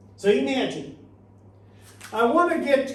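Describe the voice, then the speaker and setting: A man's extremely high voice swings very widely in pitch at a fairly slow pace. The room echo is audible and the background noise noticeable. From Portugal. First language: Portuguese. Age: 60s. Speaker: motivational speaker and author. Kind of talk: talk to a small audience. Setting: studio with live audience.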